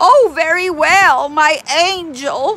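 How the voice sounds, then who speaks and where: The voice is a woman's put-on character act. It sits at an extremely high pitch. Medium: read story. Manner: mock-sweet.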